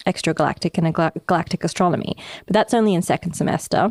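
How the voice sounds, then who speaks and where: A woman's fairly low voice in an Australian accent, with ordinary pitch variation and a dry, close sound with no echo. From Western Australia. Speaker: astronomy lecturer and podcast co-host. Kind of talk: casual podcast chat. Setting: studio.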